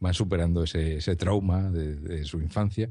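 Very deep and low in pitch with a dark, mellow tone, a man speaks at a moderate pace with ordinary pitch variation over a quiet background. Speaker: office worker and fellow podcaster. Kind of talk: casual chat.

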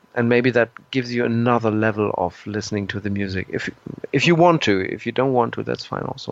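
Speaking fairly quickly with a German accent, a man uses a medium pitch and ordinary pitch variation. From Germany. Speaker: progressive rock musician. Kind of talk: interview. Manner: halting, with repetitions and fillers.

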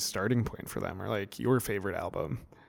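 Here a man speaks in an unremarkable speaking voice at a moderate pace, with ordinary pitch variation. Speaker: podcast co-host. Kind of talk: casual chat.

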